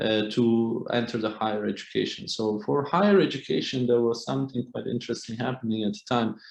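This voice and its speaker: At a moderate pace, a man with a Kurdish accent speaks in a fairly low pitch with fairly even intonation. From Kurdish area of Turkey. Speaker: artist. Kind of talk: panel discussion. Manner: halting.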